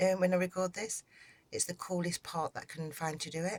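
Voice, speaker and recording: Recorded dry and close with no echo, a woman with a British accent speaks at a fairly low pitch. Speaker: crochet tutor. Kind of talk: tutorial. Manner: soft-spoken. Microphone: may record quiet.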